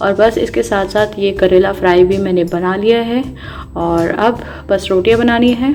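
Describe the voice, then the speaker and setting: Music plays in the background as a woman talks at a medium pitch with ordinary pitch variation. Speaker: housewife vlogger. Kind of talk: voice-over vlog narration. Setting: home, voice-over recorded quietly. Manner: casual, conversational.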